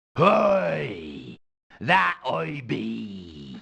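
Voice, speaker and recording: Doing a put-on character voice, a man sounds raspy and very deep, low in pitch. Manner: playful, mock-pirate.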